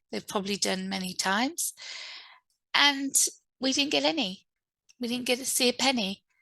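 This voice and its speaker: A woman speaks in a high, bright, sharp voice with lively intonation. The sound is dry and close with no echo, over a quiet background. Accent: English. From England. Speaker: author and publishing speaker. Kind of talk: online event talk. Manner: halting, many fillers.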